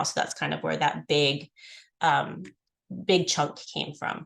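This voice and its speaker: A woman talks with vocal fry. The background is quiet. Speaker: foundation fundraising staff leading a committee meeting. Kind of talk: work meeting presentation. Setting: video call. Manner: fast.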